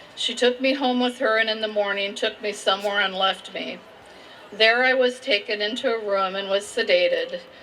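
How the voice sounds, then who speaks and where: Noticeable background noise sits behind a woman with a Midwestern American accent. She talks at a moderate pace with a fairly high pitch and fairly even intonation. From Indiana, USA. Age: 60s. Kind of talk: personal testimony.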